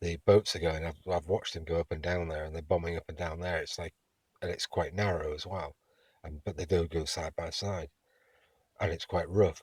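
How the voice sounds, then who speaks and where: In a very clean recording with a silent background, a man with an English accent speaks fairly quickly in a very deep, low, somewhat breathy voice with monotone, flat intonation. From England. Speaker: vlogger. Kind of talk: spoken travel diary. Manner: halting.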